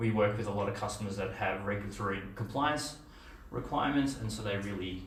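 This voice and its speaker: Speech in an Australian accent at a very fast pace with ordinary pitch variation, light background noise and audible room echo. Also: man, fairly low pitch for a man. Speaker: software engineer and conference speaker; presenter. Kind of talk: conference talk; presentation talk. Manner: halting, many fillers. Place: meeting room.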